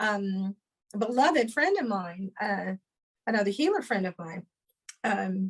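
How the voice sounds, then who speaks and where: A woman of medium pitch speaks slowly and somewhat breathily, with long, frequent pauses and ordinary pitch variation. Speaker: sound healer and spiritual teacher. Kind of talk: interview answer. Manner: hesitant, casual.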